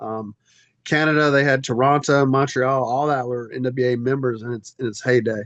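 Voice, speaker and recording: With a Southern US accent, a man talks at a moderate pace in a monotone, flat intonation. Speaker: wrestling federation executive director. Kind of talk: podcast interview.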